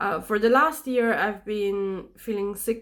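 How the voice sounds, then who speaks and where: A fairly high-pitched woman's voice with a non-native accent, on a very clean recording with a silent background. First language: not English. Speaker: vlogger. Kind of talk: casual chat. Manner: halting.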